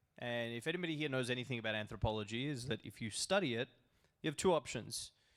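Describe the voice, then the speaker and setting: Recorded very cleanly against a silent background, a man with an Australian accent talks at a medium pitch with ordinary pitch variation. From Australia, Melbourne. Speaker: crypto broker, conference speaker. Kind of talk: conference presentation. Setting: stage with audience.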